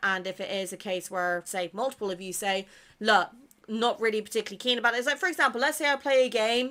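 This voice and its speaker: A woman's bright, sharp, fairly high voice with a British accent and ordinary pitch variation, on a very clean recording with a silent background. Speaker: gaming content creator. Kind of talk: casual chat.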